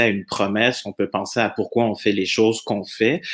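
A man with a normal speaking voice at a fairly quick pace. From France. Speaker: employer branding consultant. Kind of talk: podcast interview.

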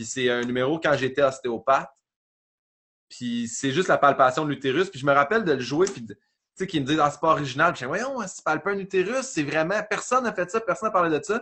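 In a Quebec accent, a man speaks fairly quickly at a fairly high pitch, with very wide pitch swings and big swings in loudness. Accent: Québécois French. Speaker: comedian. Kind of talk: casual chat.

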